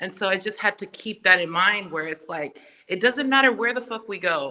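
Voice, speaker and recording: Her bright, sharp tone carries a Samoan accent as this woman speaks at a moderate pace with ordinary pitch variation. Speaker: podcaster and music artist. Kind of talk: casual chat.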